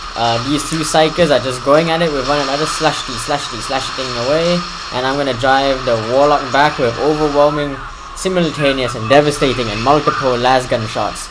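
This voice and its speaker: Audible room echo and noticeable background noise surround a man speaking at a fairly high pitch. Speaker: gaming commentator. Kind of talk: live game commentary. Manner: fast; animated.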